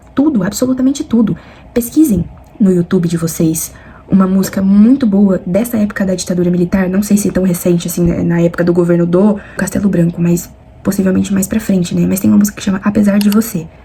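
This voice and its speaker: Soft-spoken and very fast, a woman keeps her loudness very even at a medium pitch with ordinary pitch variation, over noticeable background noise. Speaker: student vlogger. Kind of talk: study vlog explanation. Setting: at home at night. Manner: soft-spoken, talking quietly.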